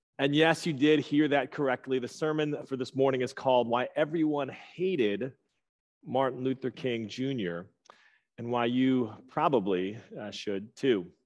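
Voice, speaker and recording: In quiet surroundings, a man keeps a moderate pace, his pitch varying in an ordinary way. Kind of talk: sermon. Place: church.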